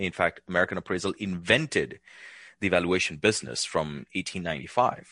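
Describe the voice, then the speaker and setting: A man with a very deep, low pitch and vocal fry talks at a fairly quick pace with ordinary pitch variation. The background is quiet and the sound is dry and close with no echo. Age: 40s. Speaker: valuation expert. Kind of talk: interview.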